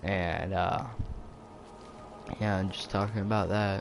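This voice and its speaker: Amid noticeable background noise, a man speaks in a fairly low, monotone, flat voice at a fairly slow pace. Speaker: gaming youtuber. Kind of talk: casual vlog talk. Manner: hesitant, many fillers; quiet.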